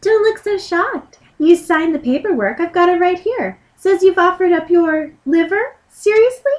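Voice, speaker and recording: A woman uses a put-on character voice pitched extremely high. She keeps to a moderate pace. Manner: stern, businesslike.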